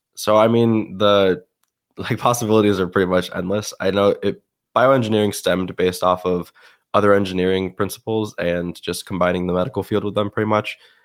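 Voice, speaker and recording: In a very clean recording with a silent background, a man with an American accent and a plain, everyday voice speaks at a fairly quick pace and fairly low pitch, with fairly even intonation. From upstate New York. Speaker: student wheelchair athlete. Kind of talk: casual interview.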